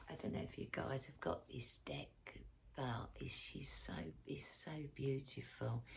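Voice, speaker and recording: The speaker is soft-spoken. The delivery comes at a fairly slow pace. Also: woman. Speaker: tarot and astrology reader. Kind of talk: casual tarot reading to camera.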